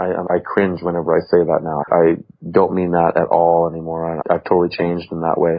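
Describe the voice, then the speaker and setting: A man talks loudly and at a fairly quick pace in an animated tone. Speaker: farmer. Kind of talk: casual chat.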